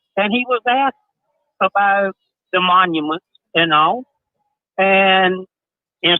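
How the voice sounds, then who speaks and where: Talking at a fairly slow pace, a man uses a high pitch. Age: 60s. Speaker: caller to a live stream. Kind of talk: casual chat. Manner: halting.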